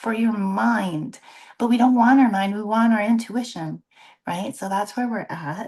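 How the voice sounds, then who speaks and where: A woman at a fairly slow pace with ordinary pitch variation, over a quiet background. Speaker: tarot reader. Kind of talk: tarot reading in a roundtable discussion. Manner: animated.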